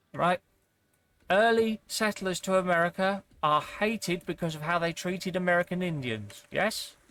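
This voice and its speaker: In a British accent, the words come at a moderate pace. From United Kingdom. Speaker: video game streamer. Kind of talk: casual chat. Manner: animated.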